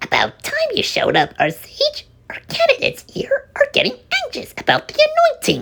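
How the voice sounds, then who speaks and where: In a squeaky, put-on character voice, a man speaks at a moderate pace. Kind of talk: archaic formal speech. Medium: read story. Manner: firm yet kindly.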